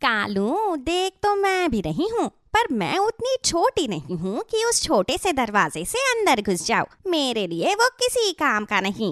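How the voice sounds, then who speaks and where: In a high, cartoonish character voice with very wide pitch swings, a woman talks with hardly any pauses. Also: moderate pace. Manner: greedy, predatory.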